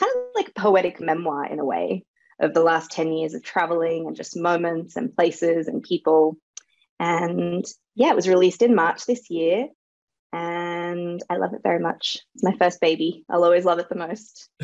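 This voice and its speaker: A woman with an Australian accent speaks at a moderate pace in a fairly low pitch, her intonation fairly even. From Australia, Sydney. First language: Serbo-Croatian. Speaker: author and dancer. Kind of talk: interview.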